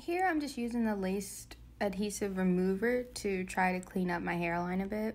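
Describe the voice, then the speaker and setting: There is audible room echo around this woman's voice. Her pitch is medium, with ordinary variation. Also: moderate pace. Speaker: beauty YouTuber. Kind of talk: tutorial. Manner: casual.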